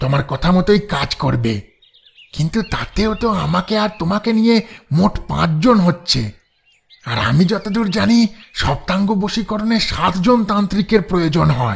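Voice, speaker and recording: A man uses a put-on character voice with very wide pitch swings. His pace is moderate. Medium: audio drama. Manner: eager, deferential.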